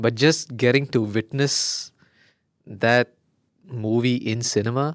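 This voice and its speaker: A man with a Keralan accent at a medium pitch, very slow pace and fairly even intonation, in a dry, close sound with no echo. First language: Malayalam. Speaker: podcast co-host. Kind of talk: casual chat.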